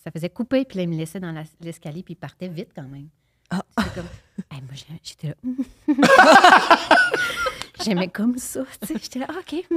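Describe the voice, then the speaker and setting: At a fairly slow pace with long, frequent pauses, a woman speaks at a medium pitch with very wide pitch swings and big swings in loudness, in a dry, close recording with no echo. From Quebec. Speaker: actress. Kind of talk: casual chat.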